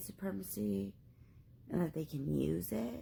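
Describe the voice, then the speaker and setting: Woman with vocal fry and very wide pitch swings. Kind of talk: casual talk to camera.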